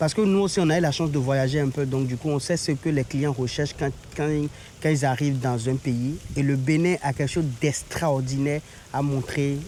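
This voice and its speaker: Over noticeable background noise, a man speaks at a moderate pace. His pitch is fairly high and his intonation fairly even. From Benin. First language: Beninese local language (speaking French). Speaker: travel agency owner. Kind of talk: interview. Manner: halting.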